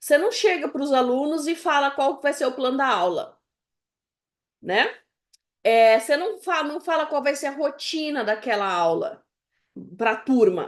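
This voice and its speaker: Over a quiet background, a woman speaks at a high pitch and a fairly slow pace, her pitch swinging very widely between long, frequent pauses. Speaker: music education professor. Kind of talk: lecture.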